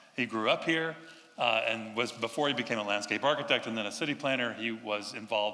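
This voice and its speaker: A man speaks with a North Carolina accent at a medium pitch. His pace is fairly quick. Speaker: urban designer. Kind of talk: public talk to audience.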